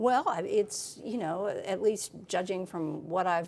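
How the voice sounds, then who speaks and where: Lively intonation marks this very slow speech in an American accent. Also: woman. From Texas. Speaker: political reporter. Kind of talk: interview conversation.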